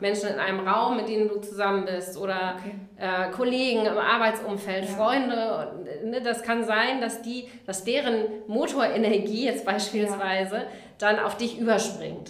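Speaking with a fairly high pitch, a woman keeps a moderate pace and fairly even intonation. Audible room echo and noticeable background noise are present. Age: 40s. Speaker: life coach. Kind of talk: interview.

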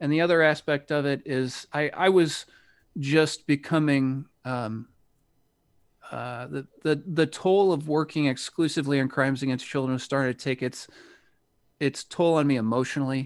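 On a very clean recording with a silent background, a man with an American accent uses an ordinary speaking voice at a fairly high pitch, with fairly even intonation and a moderate pace. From United States. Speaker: retired police officer, Bitcoin hardware developer. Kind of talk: casual interview.

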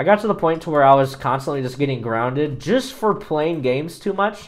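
This man has a plain, everyday voice, pitched fairly high. He speaks at a moderate pace with lively intonation. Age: 20s. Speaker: fill-in podcast host, gamer. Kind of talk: solo casual monologue. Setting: home, working at computer while recording.

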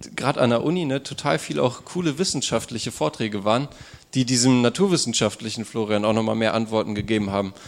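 The man speaks with lively intonation. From northern Germany, Wolfsburg. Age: 20s. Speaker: student telling his life story. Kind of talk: personal testimony; audience Q&A.

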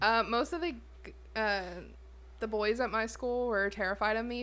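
A woman with a Southern US accent speaks at a moderate pace with a fairly high pitch and ordinary pitch variation. Her tone is bright and sharp, in a very clean recording with a silent background. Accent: Southern US, fairly thick. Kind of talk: casual chat.

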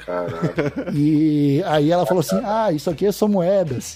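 With music behind him, a man's pitch swings very widely. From Santa Catarina, Brazil (Palhoça). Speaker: cannabis podcast host. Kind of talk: casual chat.

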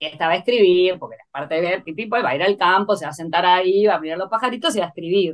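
A woman speaks at a very fast pace with hardly any pauses, in a medium pitch with ordinary pitch variation and big swings in loudness. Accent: Rioplatense. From Argentina, Buenos Aires. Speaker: agricultural producer and poet. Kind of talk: interview conversation. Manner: halting, many fillers.

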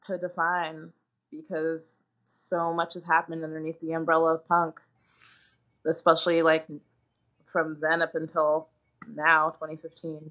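Speaking with an American accent, a woman talks at a fairly slow pace in a fairly low pitch, leaving long, frequent pauses. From US, DC suburbs. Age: 30s. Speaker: zine writer and potter. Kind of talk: casual interview. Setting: video call.

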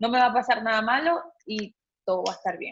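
A woman's fairly high voice with ordinary pitch variation. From Venezuela. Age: 30s. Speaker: photographer, cancer survivor. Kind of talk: personal testimony in interview.

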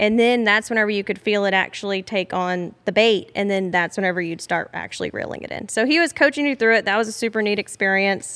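A woman with a Texan accent talks at a fairly quick pace with hardly any pauses. Her voice sits at a medium pitch, with ordinary pitch variation. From Southeast Texas, Beaumont. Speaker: hunter and angler, outdoors advocate. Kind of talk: casual chat. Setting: lodge.

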